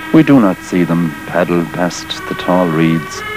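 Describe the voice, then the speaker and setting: A man at a fairly slow pace, music in the background. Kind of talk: poetry reading.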